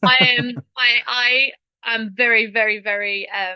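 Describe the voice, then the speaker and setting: This woman's voice has a bright, sharp tone and a fairly even intonation. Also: dry, close sound with no echo. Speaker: mums transformation coach. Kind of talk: testimonial. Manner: halting.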